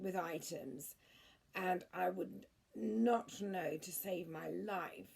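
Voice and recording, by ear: Natural-voiced reading aloud, nothing more.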